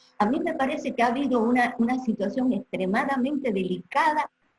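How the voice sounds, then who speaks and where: With lively intonation and a fairly quick pace, a woman speaks in a high voice. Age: 70s. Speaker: doctor and political activist. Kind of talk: videoconference panel talk. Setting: video call. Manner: emphatic.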